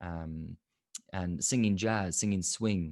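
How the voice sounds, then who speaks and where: Against a quiet background, a man with a very deep, low pitch speaks in an Irish accent. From Limerick, Ireland. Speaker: jazz singer, voice coach. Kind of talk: interview answer.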